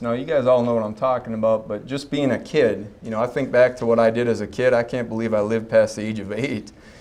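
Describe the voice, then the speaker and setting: Audible room echo surrounds a man of medium pitch who speaks with fairly even intonation in an American accent. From North Dakota (Fargo), US Upper Midwest. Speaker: chiropractor giving a talk. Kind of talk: health talk to a live audience. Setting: stage with audience at a health expo. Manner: casual, joking, with frequent fillers.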